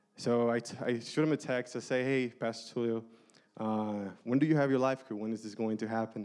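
A man talks fairly quickly in an unremarkable speaking voice, his pitch medium and his intonation fairly even. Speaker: church small-group leader. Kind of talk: testimony. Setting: church.

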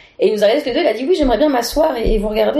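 This woman's voice swings very widely in pitch. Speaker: improv performer. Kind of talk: casual interview.

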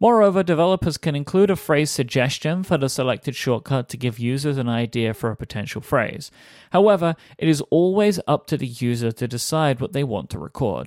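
With an unremarkable speaking voice, a man talks at a fairly quick pace in a fairly high pitch with lively intonation, the sound dry and close with no echo. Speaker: audiobook narrator. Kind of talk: scripted narration. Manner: formal.

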